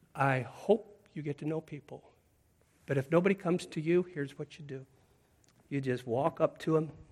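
In an American accent, a man talks at a moderate pace with a fairly high, somewhat breathy voice and ordinary pitch variation. His loudness swings a lot, and he takes long, frequent pauses. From US Pacific Northwest. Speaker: preacher. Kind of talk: sermon.

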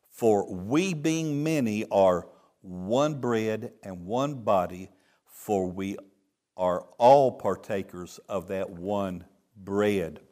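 With a Texan accent, a man speaks very slowly in a fairly low, dark, mellow voice with lively intonation, on a very clean recording with a silent background. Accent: Texan Southern US. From Texas. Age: 70s. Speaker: traveling preacher. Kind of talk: sermon. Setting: church with congregation. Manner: joking, playful.

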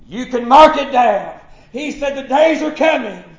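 Over noticeable background noise, a man with a Southern US accent talks at an extremely high pitch with fairly even intonation. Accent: Southern American. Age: 40s. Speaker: pastor. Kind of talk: sermon. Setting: church. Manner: halting.

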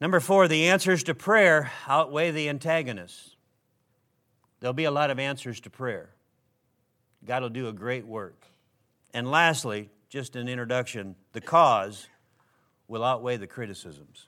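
An American man's bright, sharp voice, fairly slow with long, frequent pauses, lively intonation and big swings in loudness, on a very clean recording with a silent background. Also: medium pitch for a man. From Minnesota, US Midwest. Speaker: preacher. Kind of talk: sermon. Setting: church.

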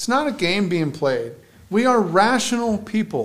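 A man's voice with audible room echo. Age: 40s. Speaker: pastor. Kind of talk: sermon. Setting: church.

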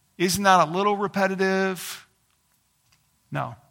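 The voice has a bright, sharp tone at a moderate pace, captured on a very clean recording with a silent background. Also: man. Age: 30s. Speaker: pastor. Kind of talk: sermon. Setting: church.

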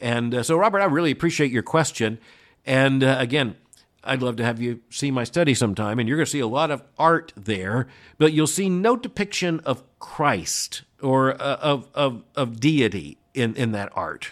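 Using an ordinary speaking voice, a man talks at a moderate pace. His pitch is medium and his intonation lively. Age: 60s. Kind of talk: solo commentary and listener Q&A. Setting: remote location.

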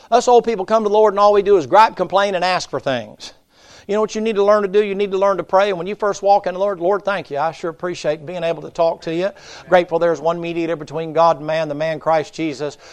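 Here a man talks at a very fast pace in an animated tone. His high voice shows ordinary pitch variation. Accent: Appalachian. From US South, Tennessee mountains. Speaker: pastor. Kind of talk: sermon. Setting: church. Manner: folksy, animated.

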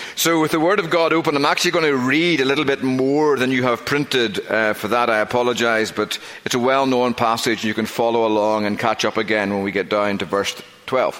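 Over noticeable background noise, a man with a strong Northern Irish accent talks at a fairly quick pace and medium pitch, his loudness very even and his pitch variation ordinary. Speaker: pastor. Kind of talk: sermon. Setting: church.

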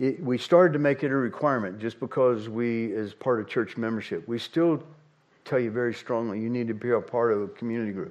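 A man with a normal speaking voice talks fairly quickly, his medium pitch showing ordinary variation. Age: 60s. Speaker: pastor. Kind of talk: sermon. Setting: church.

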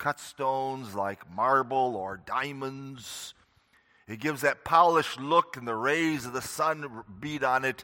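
The tone is bright and sharp, with ordinary pitch variation, big swings in loudness and a fairly slow pace, on a very clean recording with a silent background. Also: man, medium pitch for a man. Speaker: preacher. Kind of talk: sermon; fervent closing prayer. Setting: church. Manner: earnest, solemn, reverent.

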